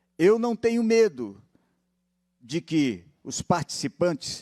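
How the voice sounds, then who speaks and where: Over a silent background in a very clean recording, a man speaks very slowly with very wide pitch swings, the sound dry and close with no echo. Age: 70s. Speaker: pension fund director. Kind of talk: public hearing speech. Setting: legislative assembly hearing.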